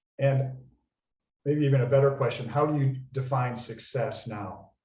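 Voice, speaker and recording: The voice is somewhat breathy and dark, mellow in tone, with monotone, flat intonation at a moderate pace. Audible room echo surrounds it. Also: man, medium pitch for a man. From Minnesota. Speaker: panel moderator. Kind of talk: panel discussion.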